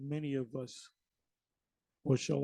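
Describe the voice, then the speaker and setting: The voice moves at a very slow pace, dark and mellow in tone, somewhat breathy, with ordinary pitch variation. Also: man. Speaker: religious video preacher. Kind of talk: religious monologue. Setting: recorded video.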